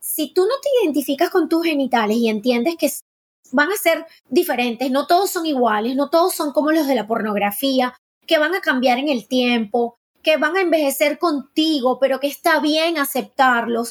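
Here a woman talks at a moderate pace in a high pitch. Her intonation is lively. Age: 50s. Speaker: gynecologist and sexologist. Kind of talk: interview.

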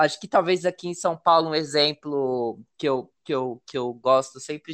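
A man's normal speaking voice at a fairly high pitch, moderate pace and ordinary pitch variation, with a dry, close sound, no echo and a quiet background. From Brazil, Paraná river border with Mato Grosso do Sul. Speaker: podcast host. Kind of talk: interview.

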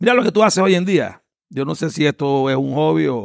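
Recorded with a dry, close sound and no echo, a man in a Panamanian accent speaks at a moderate pace with a fairly high pitch that makes very wide swings. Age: 50s. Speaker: lawyer and political candidate. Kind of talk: interview. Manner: halting, many fillers.

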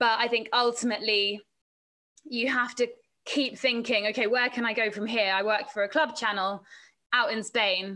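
With an English accent, a woman speaks in a fairly high pitch and fairly even intonation. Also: moderate pace. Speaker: sports presenter and reporter. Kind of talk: casual chat.

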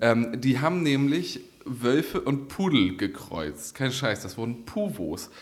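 Lively intonation from a man at medium pitch. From northern Germany, Kiel. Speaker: politician and podcast co-host. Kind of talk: casual chat.

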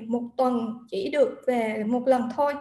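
With audible room echo, a woman speaks in a high pitch with fairly even intonation. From Vietnam. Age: 30s. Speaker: guest sharing personal story. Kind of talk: livestream interview.

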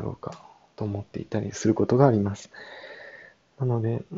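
Fairly quick, fairly even-toned speech from a man at a medium pitch. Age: 20s. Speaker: podcaster, yoga practitioner. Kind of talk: solo podcast monologue. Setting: old farmhouse. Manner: hesitant, many fillers.

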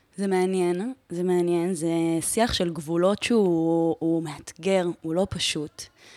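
Fairly low in pitch, a woman's voice has a dark, mellow tone. She speaks at a fairly slow pace with fairly even intonation. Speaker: podcast host. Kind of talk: casual interview chat.

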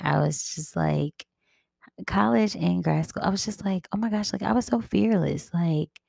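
Quiet and dark, mellow in tone, a woman speaks fairly slowly with very wide pitch swings in a dry, close recording with no echo. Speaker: podcast host. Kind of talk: casual monologue. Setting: at home.

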